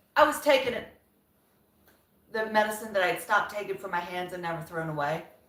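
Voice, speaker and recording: With audible room echo, a woman talks at a very fast pace and medium pitch, her animated tone carrying lively intonation, big swings in loudness and long, frequent pauses. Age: 50s. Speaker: lifestyle vlogger. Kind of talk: casual live-stream chat.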